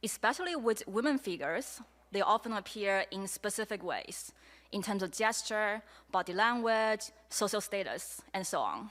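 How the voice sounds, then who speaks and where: The speaker talks at a moderate pace with a Chinese accent and ordinary pitch variation, on a very clean recording with a silent background. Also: woman, fairly high pitch for a woman. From China. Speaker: media artist. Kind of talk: presentation talk. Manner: halting, many fillers.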